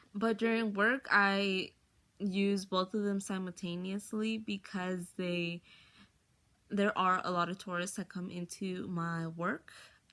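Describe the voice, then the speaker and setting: At a very slow pace, a woman speaks with a slight Spanish accent in a medium-pitched voice with a bright, sharp tone and monotone, flat intonation. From US, Mexican-American family. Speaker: college student. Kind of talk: personal testimony.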